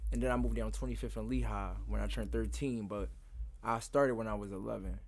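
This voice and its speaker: Speaking very fast, a man is heard with audible room echo. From Philadelphia, US. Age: 20s. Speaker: bike rider. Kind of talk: interview.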